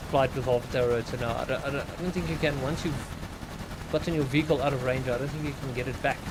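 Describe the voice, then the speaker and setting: A man at a medium pitch with ordinary pitch variation, with a South African accent, very fast pace, and noticeable background noise. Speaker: game streamer. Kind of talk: live stream gameplay commentary. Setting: home. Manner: casual, thinking aloud.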